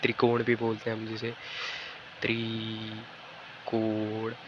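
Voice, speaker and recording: A man speaks at a medium pitch. Noticeable background noise sits behind him. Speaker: online physics and maths teacher. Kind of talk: tutorial lecture. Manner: casual, repetitive fillers.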